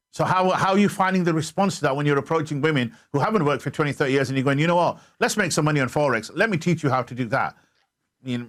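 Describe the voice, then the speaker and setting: In a Yorkshire accent, a man talks very fast at a fairly high pitch. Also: ordinary pitch variation. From northern England, Bradford. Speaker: TV talk show host. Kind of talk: interview.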